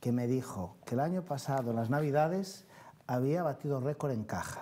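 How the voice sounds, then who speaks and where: With a dark, mellow tone, a man speaks at a moderate pace and with ordinary pitch variation. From Galicia. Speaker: city councillor. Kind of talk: studio interview answering viewer calls. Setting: TV studio. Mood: pleased, upbeat. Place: studio.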